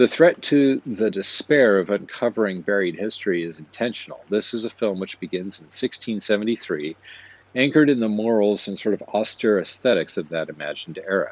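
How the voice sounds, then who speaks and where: A man's plain, everyday voice with an American accent, fairly low in pitch, with lively intonation at a moderate pace. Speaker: podcast host. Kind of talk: film review monologue.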